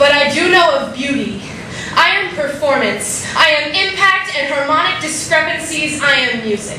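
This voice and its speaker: Through noticeable background noise, a woman with a high pitch uses a raised, projected voice with lively intonation. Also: moderate pace. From Albuquerque. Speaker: slam poet. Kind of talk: slam poetry performance.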